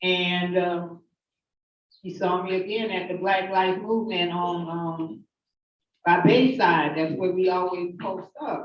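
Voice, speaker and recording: A woman talks at a fairly slow pace in a medium pitch. She has an unremarkable speaking voice and fairly even intonation. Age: 50s. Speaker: activist giving testimony. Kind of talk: testimony. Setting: hearing room with audience.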